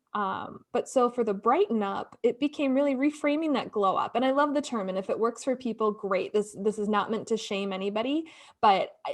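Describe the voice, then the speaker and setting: A woman speaks at a fairly quick pace with a normal speaking voice. Her pitch is fairly high, with ordinary variation. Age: 30s. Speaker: podcast co-host. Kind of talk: casual chat.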